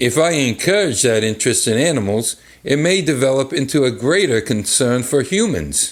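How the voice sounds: The clip features a natural reading voice.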